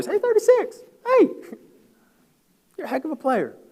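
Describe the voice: A squeaky, put-on character voice comes at an extremely high pitch and moderate pace.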